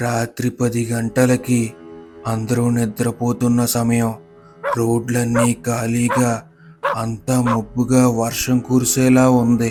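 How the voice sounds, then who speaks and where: A man's put-on character voice at medium pitch, very slow and monotone with flat intonation, over faint music. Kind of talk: horror narration. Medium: audio drama.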